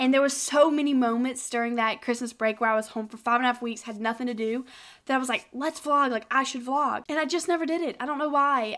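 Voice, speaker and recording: A woman with a Southern US accent talks at a very fast pace. Her voice is high, and her intonation is fairly even. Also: very clean recording, silent background. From South Carolina. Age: 20s. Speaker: college student. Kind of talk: casual chit-chat vlog to camera.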